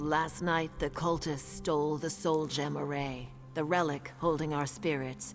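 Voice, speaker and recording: Someone performs a put-on character voice at a low-to-middle pitch. Clear music plays in the background. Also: moderate pace. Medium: video game. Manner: solemn, measured.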